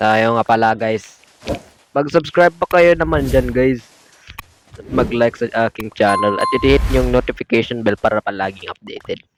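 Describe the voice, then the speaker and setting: Quiet and dry, with a close sound and no echo, a man's medium-pitched voice makes very wide pitch swings. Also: moderate pace. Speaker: gaming YouTuber. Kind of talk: gameplay commentary.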